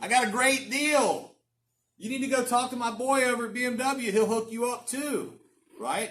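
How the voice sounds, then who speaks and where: A loud man talks at a moderate pace with an extremely high pitch. His pitch varies in an ordinary way. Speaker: real estate coach. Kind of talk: coaching talk. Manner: animated.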